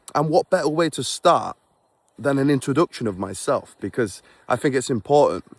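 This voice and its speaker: A man with a Yorkshire accent speaks at a fairly quick pace and fairly high pitch, with lively intonation and vocal fry, in a dry, close sound with no echo. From England (Beverley, Yorkshire). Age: 20s. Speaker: vlogger and forex trader. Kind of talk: casual vlog monologue. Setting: outdoors on a walk in snow. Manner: unscripted, conversational.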